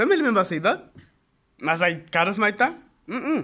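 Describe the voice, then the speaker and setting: This man's voice is high-pitched, with a bright, sharp tone. He sounds animated. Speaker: online business youtuber. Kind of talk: casual motivational talk to camera. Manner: fast.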